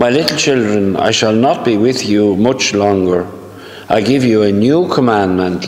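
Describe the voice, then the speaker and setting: A man's fairly low voice at a moderate pace, with ordinary pitch variation and audible room echo. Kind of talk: homily and scripture reading. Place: church. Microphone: camera far.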